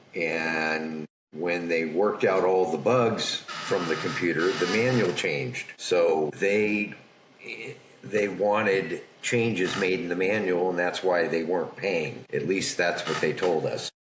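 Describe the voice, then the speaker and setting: The man's pitch is very deep and low, with ordinary variation. He speaks at a fairly slow pace. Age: 60s. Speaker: factoring business owner. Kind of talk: podcast interview storytelling. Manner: conversational.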